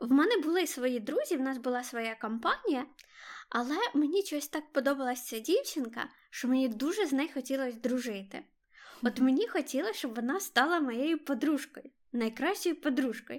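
A high-pitched woman at a moderate pace in a very clean recording with a silent background. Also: ordinary pitch variation. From Ukraine, Kharkiv. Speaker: podcast co-host. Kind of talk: casual chat.

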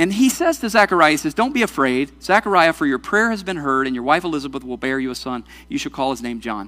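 A man with a bright, sharp tone and fairly high pitch races along at a very fast pace, swinging very widely in pitch, in a very clean recording with a silent background. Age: 40s. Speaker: pastor. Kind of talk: sermon.

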